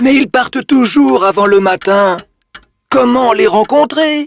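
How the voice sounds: A cartoonish character voice moves at a fairly slow pace with lively intonation. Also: man, extremely high pitch for a man, very even loudness, dry, close sound with no echo.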